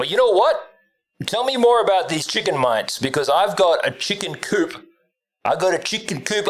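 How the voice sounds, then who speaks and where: In an Australian accent, a man speaks with lively intonation. His pace is moderate. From Australia, Northern Territory (tropical north). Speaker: gaming streamer. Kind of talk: casual livestream chat. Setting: home room livestream. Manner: casual, rambling.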